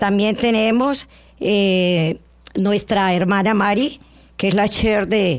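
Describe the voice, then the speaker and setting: A woman delivers her words at a very slow pace, her medium-pitched voice showing ordinary pitch variation. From Colombia. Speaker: lay church sub-coordinator. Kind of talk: radio interview with testimony. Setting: radio studio.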